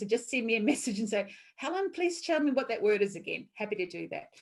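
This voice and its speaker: Fairly high in pitch, a woman talks with lively intonation. She speaks at a fairly quick pace with a New Zealand accent. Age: 50s. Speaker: workshop presenter. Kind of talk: online talk.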